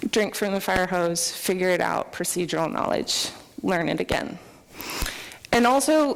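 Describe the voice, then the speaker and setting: Over noticeable background noise and audible room echo, a woman at medium pitch speaks at a moderate pace, her pitch swinging very widely between long, frequent pauses. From US, military upbringing (moved around). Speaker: software developer, conference speaker. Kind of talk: conference talk. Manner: animated.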